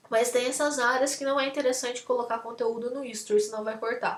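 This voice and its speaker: Fairly even intonation in a woman's high-pitched voice. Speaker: lecturer. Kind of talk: lecture. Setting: video call.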